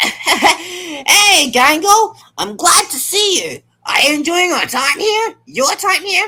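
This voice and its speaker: Putting on a character voice, a man speaks at a very slow pace in an extremely high pitch. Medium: game stream. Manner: polite, gentle, eager to please.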